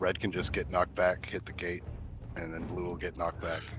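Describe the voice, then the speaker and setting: With music in the background, a man talks at a very fast pace in a very deep, low voice. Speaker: raid leader in online game. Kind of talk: casual chat.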